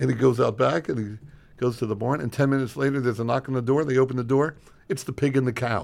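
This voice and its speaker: Speaking very fast, a man holds a medium pitch and fairly even intonation. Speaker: radio host. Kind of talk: casual banter on a radio show. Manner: joking, teasing.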